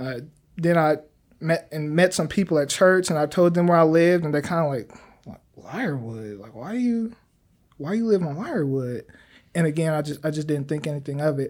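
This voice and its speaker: A man's fairly high-pitched voice at a moderate pace, in a very clean recording with a silent background. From Kansas, Wichita. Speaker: youth ministry leader and electrical engineer. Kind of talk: interview. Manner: halting, frequent repetitions.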